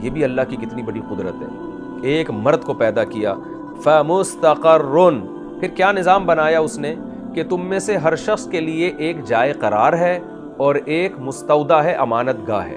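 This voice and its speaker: With music playing behind him, a man speaks at a fairly high pitch with very wide pitch swings. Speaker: Islamic scholar giving a sermon. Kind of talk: Islamic sermon (bayan) explaining Quranic verses.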